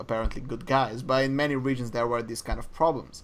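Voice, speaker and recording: Speaking with a non-native accent, a man has a medium pitch and ordinary pitch variation. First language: not English. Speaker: esports podcast co-host. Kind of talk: casual podcast chat. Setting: live-streamed podcast.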